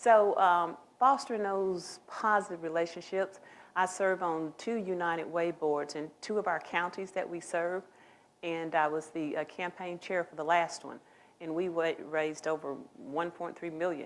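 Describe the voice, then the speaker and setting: At a moderate pace, a woman speaks in a fairly low voice with ordinary pitch variation. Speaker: college administrator, job candidate. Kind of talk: job interview Q&A. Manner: halting with fillers.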